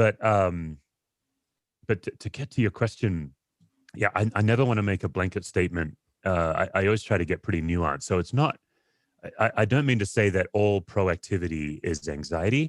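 With an Australian accent, a man talks at a moderate pace in a fairly low pitch, the sound dry and close with no echo. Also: lively intonation. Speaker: pastor and author. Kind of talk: interview conversation. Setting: video call.

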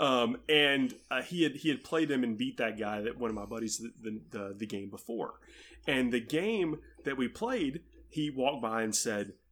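The pace is moderate in a normal speaking voice. Pitch varies in an ordinary way. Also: man, medium pitch for a man. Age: middle-aged. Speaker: podcaster, tabletop gamer. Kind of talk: casual chat.

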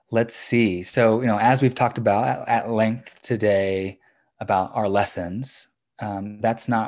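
In a very clean recording with a silent background, a man talks in an ordinary speaking voice at a fairly low pitch. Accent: General American. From US, suburbs of Washington, D.C. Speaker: education company co-founder. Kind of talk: interview.

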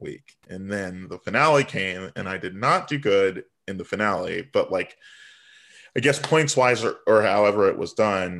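Against a quiet background, a man with an American accent speaks. His pace is fairly slow, with ordinary pitch variation. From Virginia Beach, US. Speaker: drag performer. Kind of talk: casual chat. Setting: video call.

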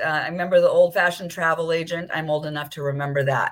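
A woman speaks with a Californian accent at a fairly quick pace. Her pitch is fairly low. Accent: Californian American. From Southern California (Beverly Hills). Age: 60s. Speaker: wellness concierge and entrepreneur. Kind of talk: interview conversation.

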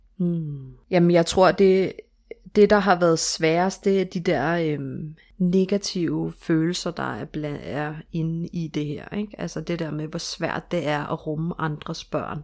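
In a very clean recording with a silent background, a woman speaks at a very slow pace with a fairly low pitch and fairly even intonation. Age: 30s. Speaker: stepmother sharing her story. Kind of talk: interview. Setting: home bedroom studio.

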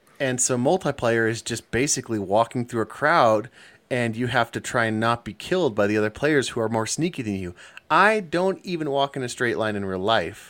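This is an unremarkable speaking voice, a man at medium pitch with lively intonation. He talks at a fairly quick pace on a very clean recording with a silent background. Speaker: podcast co-host. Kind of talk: casual chat.

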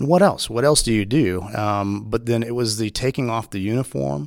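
On a very clean recording with a silent background, a man with a Texan accent talks at a fairly quick pace in a fairly low pitch. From Texas. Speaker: police officer and Marine veteran. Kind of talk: interview conversation.

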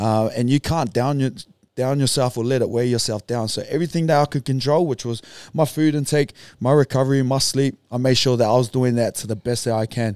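The recording is very clean, with a silent background and a dry, close sound with no echo. A man of medium pitch speaks at a fairly quick pace in a New Zealand accent. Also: fairly even intonation. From New Zealand, Auckland North Shore. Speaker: retired rugby league player. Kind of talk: casual chat.

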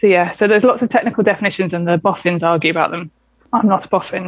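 Her medium-pitched voice shows ordinary pitch variation as this woman speaks. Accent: southern English. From southern England, St Albans. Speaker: doctor. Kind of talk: interview.

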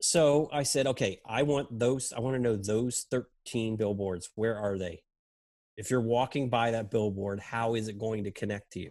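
At a moderate pace and medium pitch, a man speaks in a plain, everyday voice with ordinary pitch variation. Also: very clean recording, silent background. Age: 50s. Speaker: advertising creative director. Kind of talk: casual chat.

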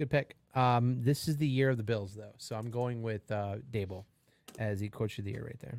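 Speaking at a moderate pace, a man with an ordinary speaking voice holds a medium pitch and fairly even intonation. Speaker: podcast co-host. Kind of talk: casual sports banter.

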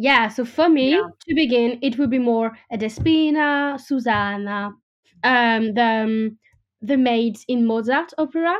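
A woman speaks with a French accent at a fairly slow pace, her voice high in pitch. Her loudness stays very even, and her pitch varies in an ordinary way. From France. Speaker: opera singer. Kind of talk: interview. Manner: halting.

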